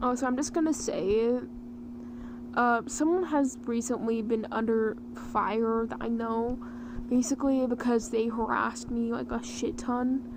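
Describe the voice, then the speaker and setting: Noticeable background noise fills the recording. Over it, a woman talks with fairly even intonation. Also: fairly high pitch for a woman, fairly slow pace. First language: Ukrainian. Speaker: vtuber artist streamer. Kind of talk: casual livestream chat while drawing.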